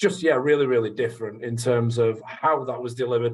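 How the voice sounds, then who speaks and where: A man with a northern English accent and a medium-pitched voice. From northern England, Leeds area. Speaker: sales trainer. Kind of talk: radio interview. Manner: hesitant, many fillers.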